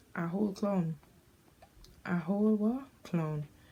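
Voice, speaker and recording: A woman speaks with a Jamaican accent at medium pitch in a dark, mellow tone. Her voice is somewhat breathy, with ordinary pitch variation. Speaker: beauty vlogger. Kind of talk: casual chat.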